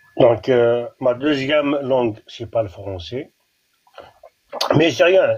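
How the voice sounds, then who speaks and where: Here a man talks at a very slow pace. His pitch is medium. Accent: Algerian. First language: Kabyle (speaking French). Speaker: caller. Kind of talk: casual chat. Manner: halting.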